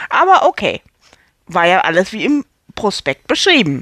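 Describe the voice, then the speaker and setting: The sound is close and dry, without any echo. A woman talks in an animated tone. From Hamburg, northern Germany. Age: 40s. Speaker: actress and podcaster. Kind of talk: storytelling monologue.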